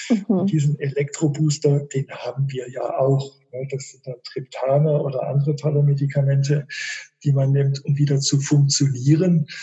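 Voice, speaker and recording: A man speaks in a fairly high, somewhat breathy voice at a moderate pace. His intonation is monotone and flat, yet his loudness swings widely. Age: 50s. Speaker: author and migraine patient, physicist. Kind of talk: interview. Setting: video call.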